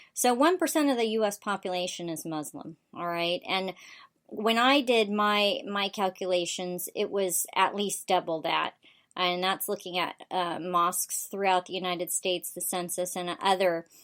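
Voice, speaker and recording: A woman with an unremarkable speaking voice, medium in pitch, at a moderate pace with ordinary pitch variation, in a very clean recording with a silent background. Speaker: political talk show host. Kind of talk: political commentary show.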